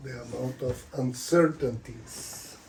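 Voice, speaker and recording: A man with a non-native accent and a medium pitch speaks at a very slow pace. Background noise is noticeable, and room echo is audible. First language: not English. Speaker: author and spiritual speaker. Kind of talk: lecture. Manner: halting.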